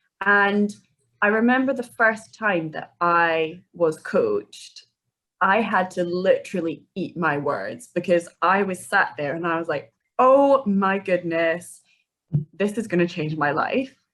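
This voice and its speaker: Speaking at a fairly slow pace in a Scottish accent, a woman uses lively intonation at a medium pitch. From Scotland, Edinburgh. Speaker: life coach. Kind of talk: podcast interview.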